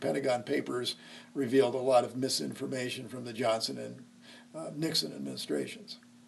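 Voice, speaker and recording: A man talks with a Midwestern American accent. His pace is fairly quick. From Nebraska, Lincoln. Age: 60s. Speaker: history teacher. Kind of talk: oral history interview. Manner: hesitant, many fillers.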